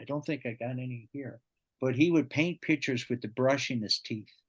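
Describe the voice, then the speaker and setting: The speaker has a Newfoundland accent and talks at a moderate pace with ordinary pitch variation. The sound is dry and close with no echo, over a quiet background. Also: man. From Newfoundland, Canada (St. John's). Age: 60s. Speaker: podcast guest, storyteller. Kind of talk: casual interview, life story.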